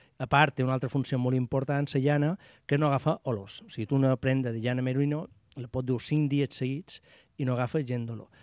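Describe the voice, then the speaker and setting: A man with a Mallorcan accent, medium pitch, fairly quick pace and fairly even intonation, on a very clean recording with a silent background. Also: dry, close sound with no echo. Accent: Mallorcan Catalan. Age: 50s. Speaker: outdoor gear shop owner. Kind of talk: radio interview.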